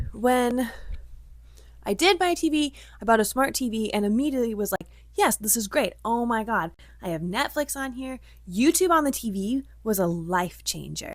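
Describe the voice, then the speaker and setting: Speaking with a Midwestern accent, a woman uses lively intonation and a fairly high pitch at a moderate pace, leaving long, frequent pauses in a very clean recording with a silent background. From US Midwest. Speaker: vlogger. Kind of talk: casual vlog monologue. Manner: chatty.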